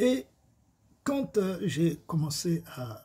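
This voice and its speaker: Very slow in pace, the voice carries a dark, mellow tone with very wide pitch swings. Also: man. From Congo. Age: 70s. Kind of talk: testimony.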